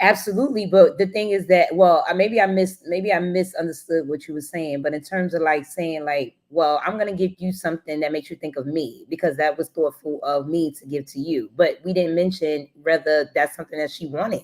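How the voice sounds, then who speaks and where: Talking at a fairly quick pace with hardly any pauses, a woman with an American accent and a fairly low pitch has a normal speaking voice with big swings in loudness. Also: ordinary pitch variation. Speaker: live show host. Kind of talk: casual live discussion.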